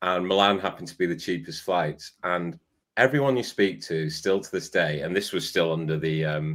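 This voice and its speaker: A man with an English accent, very deep, low pitch, lively intonation and a fairly quick pace. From Salford, Greater Manchester. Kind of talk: casual chat.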